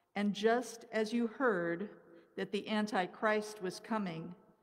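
Against a quiet background, a woman talks at a very slow pace. Her intonation stays fairly even. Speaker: lector reading scripture and intercessions. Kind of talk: scripture reading aloud at mass. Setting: church. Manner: formal, steady, reverent. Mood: calm, measured liturgical reading. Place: church. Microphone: podium.

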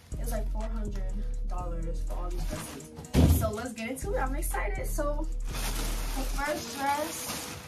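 The speech moves at a very slow pace. Loud music plays in the background. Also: woman. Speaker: haul vlogger. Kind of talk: casual vlog chat. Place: home room. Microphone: camera far.

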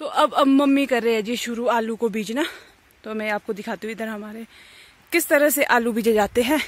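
The speech moves at a moderate pace. Pitch variation is ordinary. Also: woman, fairly high pitch for a woman.

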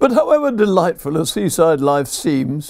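Dark and mellow in tone, the voice carries a southern English accent, with a dry sound that has no echo and a quiet background. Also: man. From southern England, Brighton; southern England. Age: 80s+. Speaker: poet. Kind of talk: reading aloud. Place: home room.

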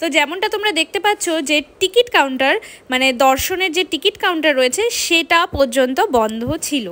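This woman has a high pitch and a bright, sharp tone. She talks at a fairly quick pace with lively intonation.

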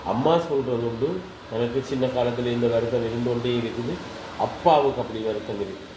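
Over noticeable background noise, a man with a Sri Lankan accent talks at medium pitch with ordinary pitch variation. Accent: Sri Lankan Tamil. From Mullaitivu, Sri Lanka. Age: 60s. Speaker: acupuncture patient. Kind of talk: interview answer.

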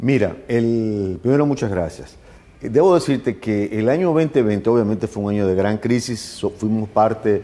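A man's fairly low voice, dark and mellow in tone, with ordinary pitch variation and a very slow pace. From Dominican Republic. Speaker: government minister; interviewee. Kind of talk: TV interview. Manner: halting, with fillers. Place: office. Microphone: lapel.

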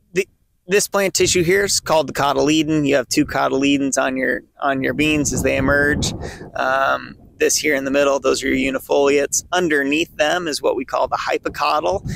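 The recording of this man has light background noise and a dry sound with no echo. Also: fairly quick pace. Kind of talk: tutorial. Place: open country. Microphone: phone near.

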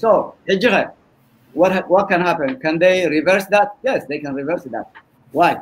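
A man speaks in a high voice at a moderate pace. His pitch variation is ordinary. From Eritrea. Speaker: political debate panelist; panelist. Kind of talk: debate discussion. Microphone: video call.

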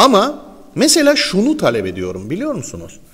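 Very wide pitch swings run through this man's speech. His pace is moderate. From Northern Cyprus. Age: 50s. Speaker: morning show host. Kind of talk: morning show chat with ad reads. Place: studio. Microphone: lapel.

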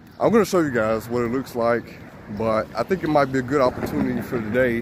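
Speaking at a fairly quick pace with ordinary pitch variation, this voice sounds dry with no echo, though noticeable background noise is present. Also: man. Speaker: can collector vlogger. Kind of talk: casual vlog chat. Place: street. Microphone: phone near.

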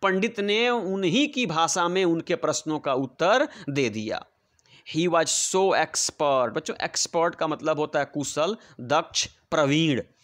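A man with a Bihari accent, high pitch and lively intonation, in a dry, close sound with no echo. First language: Bhojpuri (speaking Hindi). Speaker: English teacher. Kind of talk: lesson explanation.

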